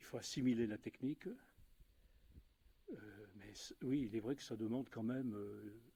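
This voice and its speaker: A man with a dark, mellow tone and medium pitch speaks at a fairly slow pace with fairly even intonation, long and frequent pauses, and big swings in loudness. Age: 60s. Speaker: aikido practitioner, retiree. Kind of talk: casual interview. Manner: halting.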